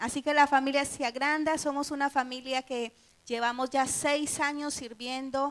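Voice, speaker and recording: A woman with a Colombian accent speaks in a high pitch. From Colombia, Medellín. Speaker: missionary. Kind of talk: testimony.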